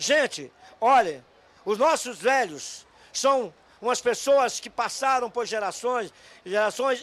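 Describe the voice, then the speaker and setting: A man speaks at a very slow pace. His pitch is extremely high. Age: 70s. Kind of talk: street interview.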